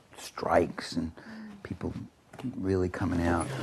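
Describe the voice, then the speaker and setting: A man speaks with a very deep, low pitch and a somewhat breathy quality. His pace is moderate and his pitch varies in an ordinary way. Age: 70s. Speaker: political writer and speaker. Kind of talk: interview.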